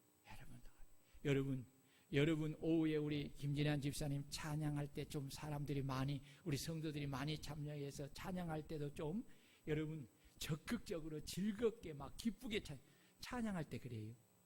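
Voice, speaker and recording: A man with a somewhat breathy, fairly high voice speaks at a moderate speed, his pitch rising and falling in an ordinary way. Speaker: pastor. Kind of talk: sermon. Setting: church. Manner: animated.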